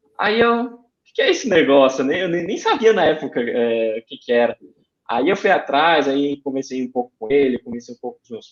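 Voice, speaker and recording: A man with a Ceará accent at a fairly high pitch and a fairly quick pace, with lively intonation and big swings in loudness. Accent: Cearense (northeastern Brazilian). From Brazil, Ceará (Fortaleza). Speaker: aeronautical engineer. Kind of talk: podcast interview.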